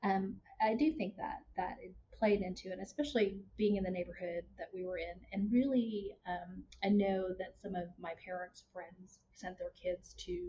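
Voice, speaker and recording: A woman with a slight Texas accent, speaking at a fairly slow pace. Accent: slight Texas twang. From Houston, Texas. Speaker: marketing consultant and instructor. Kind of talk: casual interview conversation.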